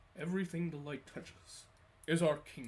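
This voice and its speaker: Pitched in the middle, a put-on character voice delivers its lines at a moderate pace. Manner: regal, solemn.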